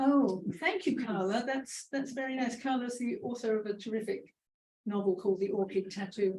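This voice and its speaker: A woman speaks with a British accent at a moderate pace. Her fairly high voice has lively intonation. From Britain. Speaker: author. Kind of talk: book launch Q&A.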